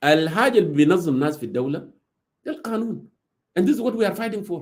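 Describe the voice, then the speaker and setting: A man's high-pitched voice with an African accent at a very fast pace, full of very wide pitch swings. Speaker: political commentator. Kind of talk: political talk in a live audio room. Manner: code-switching Arabic and English.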